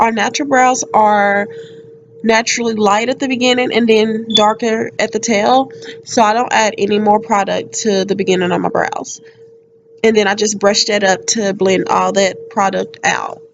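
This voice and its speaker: This woman speaks at a moderate pace in a fairly high pitch. Her intonation stays fairly even, and background noise is noticeable. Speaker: beauty vlogger. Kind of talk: tutorial voiceover.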